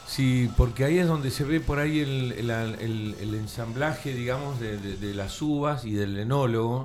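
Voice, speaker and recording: Noticeable background noise sits behind a man speaking at a fairly slow pace with hardly any pauses. His pitch is medium, with ordinary variation. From Tandil, Argentina. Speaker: chef. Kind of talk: casual radio interview.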